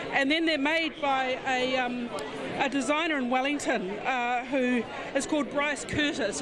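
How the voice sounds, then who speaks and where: A woman speaks with ordinary pitch variation. Crowd noise is heard in the background. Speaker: reporter. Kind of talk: on-location report explaining to camera. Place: hall. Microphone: handheld.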